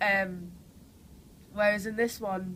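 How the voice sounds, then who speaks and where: Flat and monotone, a woman speaks with a strong Geordie accent. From northern England, Newcastle. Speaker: actress. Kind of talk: interview. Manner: hesitant, many fillers.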